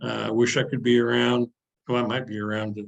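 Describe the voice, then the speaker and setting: A man speaks at a medium pitch with vocal fry. His intonation stays fairly even. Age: 70s. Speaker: retired sports editor. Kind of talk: interview. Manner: halting.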